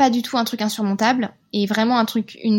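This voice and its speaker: In a very clean recording with a silent background, a woman speaks at a moderate pace in a somewhat breathy, monotone voice with flat intonation. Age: 30s. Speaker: naturopath and mother. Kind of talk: testimony. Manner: hesitant, many fillers.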